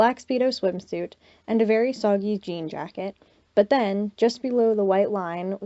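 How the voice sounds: Here is a natural reading voice. Ordinary pitch variation runs through it.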